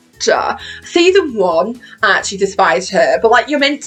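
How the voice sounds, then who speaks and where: Noticeable background noise surrounds the speaker. A woman with a British accent talks at a moderate pace. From Britain. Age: 20s. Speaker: YouTuber. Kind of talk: casual chat. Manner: animated.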